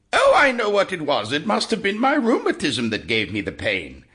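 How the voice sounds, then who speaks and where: Putting on a character voice, a man talks at a moderate pace with a high pitch. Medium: read story.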